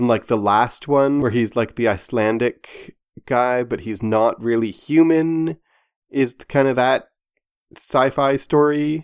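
A man with an ordinary speaking voice talks at a medium pitch and a fairly slow pace, with ordinary pitch variation. His loudness swings widely in a very clean recording with a silent background. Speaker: podcast host. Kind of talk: casual chat discussing a TV show.

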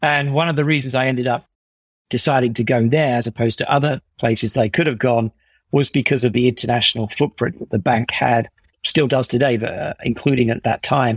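Dry and close with no echo, a man with a southern English accent talks at a medium pitch and a fairly quick pace with fairly even intonation. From England, Essex. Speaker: startup co-founder and CEO. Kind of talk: interview conversation.

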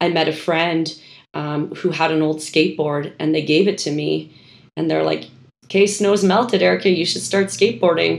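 A woman speaks at a moderate pace in an ordinary speaking voice with a fairly low pitch. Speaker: skateboard club founder. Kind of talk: casual chat.

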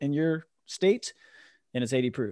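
Against a quiet background, a man with an unremarkable speaking voice talks at a fairly quick pace and fairly high pitch with lively intonation. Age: 40s. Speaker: podcast host. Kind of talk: casual chat. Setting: video call.

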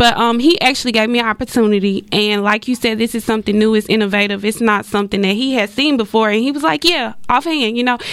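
A woman with an American accent talks at a very fast pace with hardly any pauses. Her fairly high pitch shows ordinary variation. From Dallas, Texas. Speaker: small business owner. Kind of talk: radio interview. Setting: radio studio.

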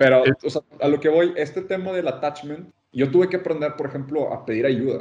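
A man talks at a fairly quick pace in a normal speaking voice, with hardly any pauses. His pitch is fairly high, with ordinary pitch variation. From Mexico, Monterrey. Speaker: design consultant. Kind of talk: casual chat.

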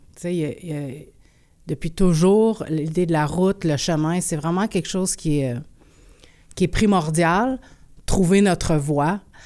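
In a Quebec accent, a woman speaks very slowly with long, frequent pauses, her fairly low, dark, mellow tone showing ordinary pitch variation on a very clean recording with a silent background. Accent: Québécois French. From Quebec, Abitibi-Témiscamingue (Rouyn-Noranda). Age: 40s. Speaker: performance artist and musician. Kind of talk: interview.

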